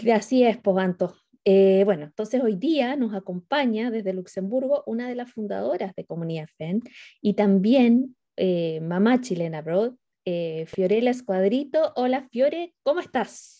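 Her intonation is lively, and this woman's pitch is fairly high. She speaks fairly slowly in a dark, mellow tone. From Chile. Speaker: podcast co-host. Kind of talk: casual chat.

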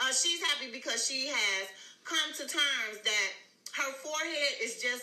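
Over noticeable background noise, a woman with a high pitch speaks in a raised, projected voice at a fairly slow pace, her tone animated and her intonation lively. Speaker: live stream host, celebrity gossip commentator. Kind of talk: angry rant. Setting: live stream with chat. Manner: animated, sassy, loud.

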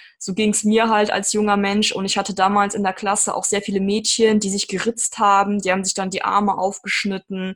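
Talking at a fairly quick pace with hardly any pauses, a woman keeps a medium pitch and a monotone, flat intonation. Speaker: podcast host. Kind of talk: podcast interview. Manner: talkative.

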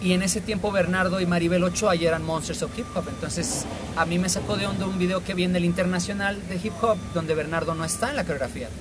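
Over noticeable background noise and audible room echo, a man races along at a very fast pace with hardly any pauses, his high voice keeping a fairly even intonation. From Mexico, La Paz, Baja California Sur. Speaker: dancer. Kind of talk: casual chat. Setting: in person at a café.

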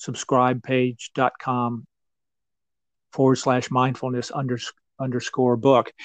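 Recorded dry and close with no echo, a man with an American accent and medium pitch speaks at a fairly slow pace. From Western North Carolina. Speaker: meditation teacher and author. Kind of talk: interview. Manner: halting, many fillers.

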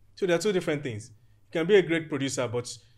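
In a Nigerian accent, a man speaks very fast with ordinary pitch variation. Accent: Nigerian (Yoruba) English. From Nigeria, Ijebu Ode (Yoruba). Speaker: architect and property developer. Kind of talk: casual interview chat.

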